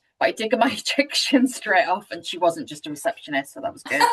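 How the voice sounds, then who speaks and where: A woman in a British accent, her pitch swinging very widely. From UK. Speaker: webinar host. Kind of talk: webinar discussion.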